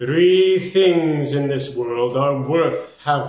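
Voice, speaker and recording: A man's put-on character voice, fairly high-pitched and solemn in tone, at a very slow pace with slight echo. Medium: read story. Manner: slow, solemn, grand.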